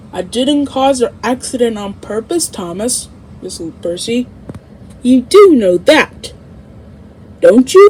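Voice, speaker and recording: Adopting a put-on character voice, a woman speaks slowly-ish, fairly slow in pace, at a high pitch. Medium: read story.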